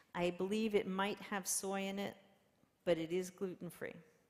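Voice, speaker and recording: This woman has an unremarkable speaking voice at medium pitch. She talks at a moderate pace with fairly even intonation. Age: 60s. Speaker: pastor. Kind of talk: sermon. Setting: church. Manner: casual.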